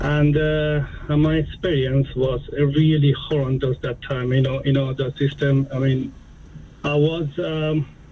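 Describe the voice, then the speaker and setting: Over noticeable background noise, a man with a non-native accent speaks at a fairly slow pace in a monotone, flat intonation. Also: fairly high pitch for a man. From a developing country abroad. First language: not English. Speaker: caller, police officer. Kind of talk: phone-in call. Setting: phone call. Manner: halting, many fillers.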